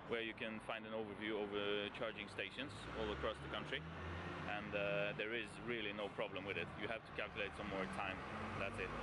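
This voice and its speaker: Loud background noise surrounds a man speaking at a moderate pace. The sound itself is dry with no echo. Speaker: travel vlogger. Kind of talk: casual vlog chat. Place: street. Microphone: phone near.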